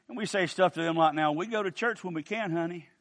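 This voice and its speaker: A man with an Appalachian accent at a moderate pace, quiet background. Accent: Appalachian US Southern. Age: 60s. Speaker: preacher. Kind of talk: sermon.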